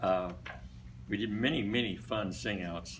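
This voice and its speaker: A man with an American accent speaks at a moderate pace in a fairly low pitch with ordinary pitch variation, with noticeable background noise and audible room echo. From US Midwest, Des Moines, Iowa. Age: 80s+. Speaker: retired barbershop singer. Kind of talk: after-lunch speech. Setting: luncheon club meeting. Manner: casual, hesitant with fillers.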